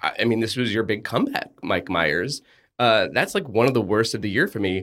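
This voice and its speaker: A man with an unremarkable speaking voice, medium pitch and lively intonation speaks at a moderate pace on a very clean recording with a silent background. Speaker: podcast co-host. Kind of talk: casual chat and TV review. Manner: playful, jokey.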